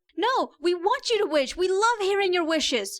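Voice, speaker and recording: Putting on a squeaky character voice at an extremely high pitch, a woman speaks at a moderate pace in an enthusiastic tone. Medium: read story. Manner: bright, enthusiastic.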